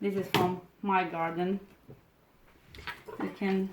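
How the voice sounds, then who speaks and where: The speaker has a Romanian accent and a monotone, flat intonation. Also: woman. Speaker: cooking video host. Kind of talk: cooking tutorial. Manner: halting, with repeated words and fillers.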